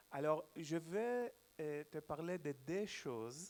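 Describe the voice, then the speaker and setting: A man's fairly high voice in a Hebrew accent, very slow, with very wide pitch swings. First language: Hebrew (speaking French). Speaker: journalist, panel speaker. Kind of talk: symposium talk. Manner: halting.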